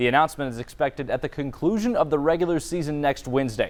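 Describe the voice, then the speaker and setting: With noticeable background noise around him, the man talks at a fairly high pitch whose variation is ordinary. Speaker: sports broadcaster. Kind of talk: breaking news anchoring.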